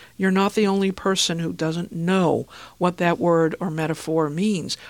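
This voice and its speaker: A woman's ordinary speaking voice, fairly low in pitch, at a moderate pace on a very clean recording with a silent background. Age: 60s. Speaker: listening consultant and author. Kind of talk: interview.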